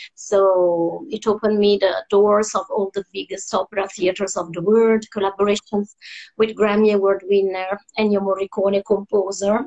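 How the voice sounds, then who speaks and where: A woman with an Italian accent speaks at a moderate pace and medium pitch, her intonation fairly even. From Italy, Rome. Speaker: opera singer. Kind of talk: interview. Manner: hesitant, many fillers.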